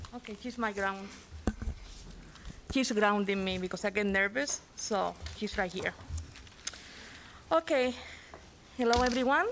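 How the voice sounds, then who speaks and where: A woman with a non-native accent speaks fairly slowly at a fairly high pitch with ordinary pitch variation. Long, frequent pauses and noticeable background noise mark the clip. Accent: noticeable foreign. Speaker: parent giving public comment. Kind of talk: public comment.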